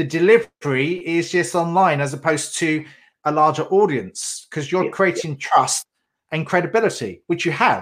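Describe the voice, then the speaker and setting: In a very clean recording with a silent background, the talking proceeds at a moderate pace. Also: man. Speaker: podcast host. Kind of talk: interview, intro and outro.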